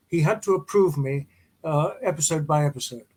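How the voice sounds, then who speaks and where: A man's somewhat breathy voice sits at a fairly high pitch, with ordinary pitch variation. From England. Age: 80s+. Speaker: actor. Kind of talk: interview.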